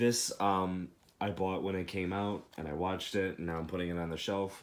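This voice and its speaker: A man speaks in a very deep, low pitch with monotone, flat intonation at a moderate pace. The recording is very clean, with a silent background. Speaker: movie collector vlogger. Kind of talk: casual collection showcase. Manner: soft.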